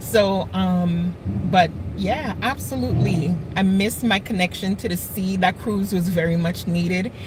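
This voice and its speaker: A woman with an American accent speaks at a fairly low pitch with ordinary pitch variation over noticeable background noise. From US Virgin Islands (St. Thomas). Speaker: home cook channel host. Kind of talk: casual live-stream chat. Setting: live stream.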